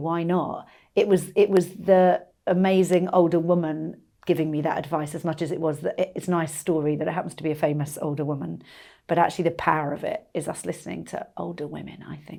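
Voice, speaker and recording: On a very clean recording with a silent background, a woman with a dark, mellow tone and fairly low pitch talks at a very fast pace, her loudness swinging widely. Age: 50s. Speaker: stand-up comedian. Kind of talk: casual chat. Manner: animated.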